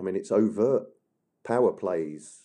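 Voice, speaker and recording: Here a man speaks with a Yorkshire accent at a fairly slow pace. His tone is dark and mellow. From Yorkshire, northern England. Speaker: historian and author. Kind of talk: interview.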